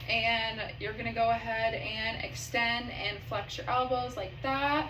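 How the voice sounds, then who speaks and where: The speaker talks at a fairly slow pace against noticeable background noise. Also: woman. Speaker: physician assistant performing an exam. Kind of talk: clinical exam instructions to a patient. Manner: calm, instructional, with filler words.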